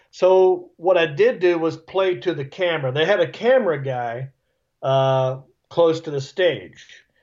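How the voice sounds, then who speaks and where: With a Southern US accent, a man talks at a fairly slow pace in a high pitch, his intonation lively. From US South. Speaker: stand-up comedian. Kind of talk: casual interview.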